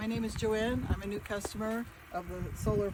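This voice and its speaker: Noticeable background noise accompanies a woman speaking at a moderate pace. Her intonation stays fairly even. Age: 70s. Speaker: customer giving a testimonial. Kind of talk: testimonial. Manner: hesitant with fillers.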